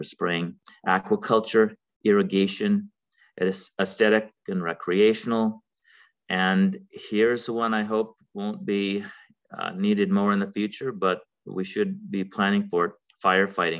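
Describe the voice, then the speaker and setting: Over a quiet background, a man talks at a fairly slow pace with long, frequent pauses. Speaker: webinar presenter. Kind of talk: lecture. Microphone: webcam.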